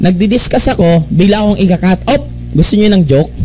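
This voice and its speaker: A man speaks in a high, animated voice at a fairly quick pace with ordinary pitch variation. There is noticeable background noise. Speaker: network marketing presenter. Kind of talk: business opportunity presentation.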